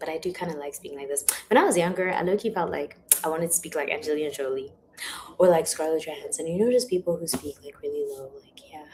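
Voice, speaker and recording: Very fast and with big swings in loudness, a woman with a fairly low pitch and ordinary pitch variation talks over noticeable background noise. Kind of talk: informal, slangy. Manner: casual, chatty.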